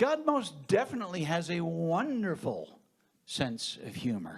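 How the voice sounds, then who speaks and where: A man in an American accent speaks with a high pitch and very wide pitch swings. The room echo is audible. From New England, US. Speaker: minister. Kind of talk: talk to a conference audience.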